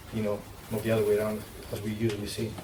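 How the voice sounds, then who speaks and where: A man with a Greek accent speaks at a medium pitch amid audible room echo and noticeable background noise. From Greece. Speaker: sports nutritionist. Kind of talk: panel discussion.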